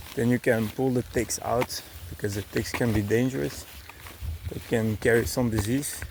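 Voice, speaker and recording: Medium-pitched male voice with a Dutch accent, moderate pace, ordinary pitch variation, and noticeable background noise. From Belgium, Dutch-speaking (Flanders). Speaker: travel vlogger. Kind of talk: vlog narration while hiking. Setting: outdoors on a hiking trail. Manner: hesitant, many fillers.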